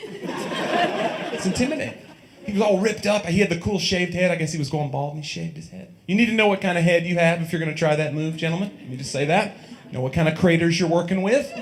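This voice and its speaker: Speaking very fast with a Tennessee accent, a man with a high pitch shows big swings in loudness and ordinary pitch variation, over noticeable background noise and audible room echo. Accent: Southern US (Tennessee). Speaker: stand-up comedian. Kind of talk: stand-up. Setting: stage with audience.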